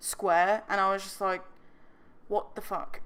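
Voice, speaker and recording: The tone is bright and sharp, with ordinary pitch variation at a moderate pace. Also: woman. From England. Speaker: gaming youtuber. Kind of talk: casual commentary over speed build. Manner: rambling, filler-heavy.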